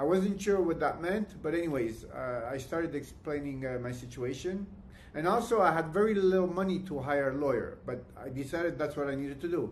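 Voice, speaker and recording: Fairly quick male speech, pitched fairly high, its pitch varying in an ordinary way, in a room with audible echo. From Canada. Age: 60s. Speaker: client giving testimony. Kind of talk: testimony. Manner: halting, many fillers and restarts.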